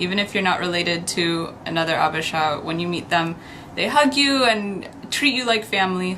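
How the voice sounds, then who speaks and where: Audible room echo and noticeable background noise around a woman's voice of medium pitch. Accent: American. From United States. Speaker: YouTuber. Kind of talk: show-and-tell vlog.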